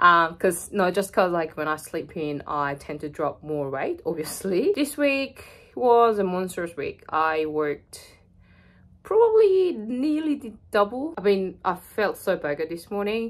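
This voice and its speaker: A woman speaks at a fairly slow pace, her pitch swinging very widely. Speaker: fitness vlogger. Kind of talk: casual vlog chat. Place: home room. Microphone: phone near.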